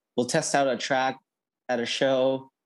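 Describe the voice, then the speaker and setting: A man talks in a plain, everyday voice at a medium pitch and a moderate pace. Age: 30s. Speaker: electronic music producer. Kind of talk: interview.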